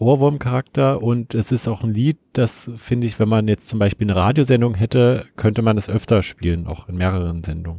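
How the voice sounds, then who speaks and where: A man's fairly low, dark, mellow voice at a fairly quick pace with hardly any pauses, ordinary pitch variation, a quiet background, and a dry, close sound with no echo. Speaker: community radio music show co-host. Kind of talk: casual chat about music.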